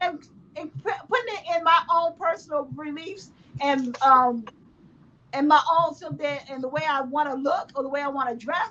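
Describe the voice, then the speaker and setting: A woman's high, raised and projected voice, animated in tone, at a moderate pace with ordinary pitch variation. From United States. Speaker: gaming podcast co-host. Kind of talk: heated debate. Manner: loud.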